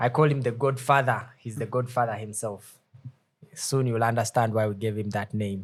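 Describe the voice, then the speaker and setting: Somewhat breathy, a man speaks at a moderate pace with fairly even intonation. His pitch is medium. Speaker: student podcast host. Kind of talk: podcast interview host.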